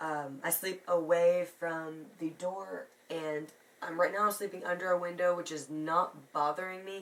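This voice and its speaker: At a moderate pace, a woman speaks with monotone, flat intonation at a fairly low pitch. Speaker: beauty vlogger. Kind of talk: casual talk to camera.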